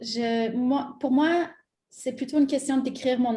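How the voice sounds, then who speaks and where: This woman's voice sits at high pitch. Her tone is dark and mellow. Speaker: multidisciplinary artist. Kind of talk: panel discussion.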